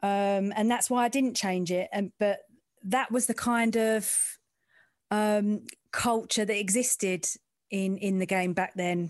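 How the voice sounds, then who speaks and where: A woman with an East End London accent, fairly even intonation, long and frequent pauses, and a quiet background. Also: medium pitch for a woman, fairly slow pace, very even loudness. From East End of London. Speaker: sports journalist and presenter. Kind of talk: casual interview chat about career.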